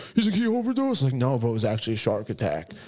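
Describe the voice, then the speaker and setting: Very wide pitch swings, with an American accent. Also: man. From New Jersey. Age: 30s. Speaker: tattoo client; podcast guest. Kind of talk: casual chat. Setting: studio. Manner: animated, laughs often. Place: shop. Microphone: studio mic.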